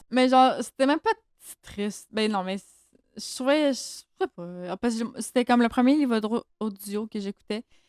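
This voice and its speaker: Speaking at a moderate pace with a Quebec accent, a woman uses a fairly high voice with ordinary pitch variation and big swings in loudness, recorded dry and close with no echo. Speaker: book podcast co-host. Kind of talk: casual chat.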